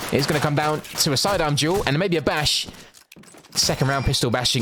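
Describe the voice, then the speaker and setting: A man with a fairly high pitch speaks at a fairly quick pace, his loudness very even and his pitch variation ordinary, with audible room echo and noticeable background noise. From London, England. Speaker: esports shoutcaster. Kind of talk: live commentary. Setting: livestream. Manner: fast.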